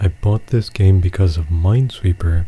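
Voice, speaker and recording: A man's soft-spoken, somewhat breathy voice, very deep and low in pitch, dark and mellow, relaxed in tone, with fairly even intonation. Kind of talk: gameplay commentary. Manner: rambling, relaxed.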